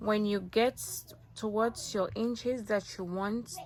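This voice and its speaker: Noticeable background noise runs throughout. A woman talks over it. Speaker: crochet tutorial creator. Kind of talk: tutorial. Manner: casual, conversational.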